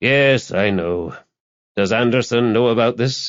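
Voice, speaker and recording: A raspy, put-on character voice at a fairly slow pace, with ordinary pitch variation. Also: man, medium pitch for a man. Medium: read story. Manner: laconic.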